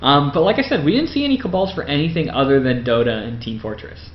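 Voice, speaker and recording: A man talks at a fairly quick pace and a medium pitch. Audible room echo and noticeable background noise surround him. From Windsor, Ontario, Canada. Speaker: podcaster and gaming youtuber. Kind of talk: casual video narration of photo slideshow. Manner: fast; hesitant, many fillers.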